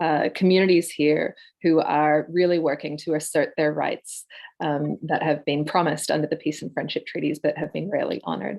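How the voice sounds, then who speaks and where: A woman speaks at a fairly quick pace with an Australian accent, her pitch very deep and low. Her intonation stays fairly even, and vocal fry runs through her voice. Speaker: political candidate. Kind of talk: candidate introduction.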